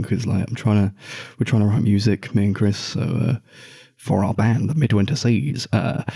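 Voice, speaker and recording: A man speaks quietly at a fairly quick pace. His voice is somewhat breathy, with a dark, mellow tone. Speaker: podcast host. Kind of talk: casual chat. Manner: quiet, held down.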